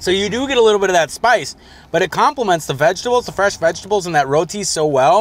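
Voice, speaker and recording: A man talks at a very fast pace with vocal fry, the sound dry with no echo. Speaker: food show host. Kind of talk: food tasting commentary. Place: car.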